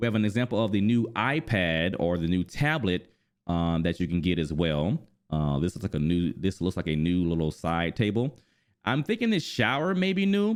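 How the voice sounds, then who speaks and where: A man with a very deep, low pitch talks at a fairly quick pace, his intonation lively. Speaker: gaming youtuber. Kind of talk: video commentary. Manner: fast; enthusiastic.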